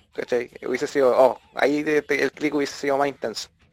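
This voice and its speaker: A man talks at a very fast pace with a Chilean accent. The sound is dry and close, with no echo. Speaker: podcast co-host. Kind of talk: casual chat.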